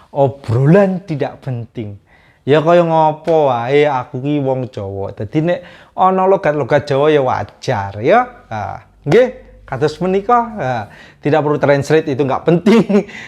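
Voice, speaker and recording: Against a quiet background, a man with a slight Javanese accent talks at a fairly slow pace, his fairly high pitch making very wide swings. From Java, Indonesia. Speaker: vlogger. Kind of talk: casual storytelling monologue. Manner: casual.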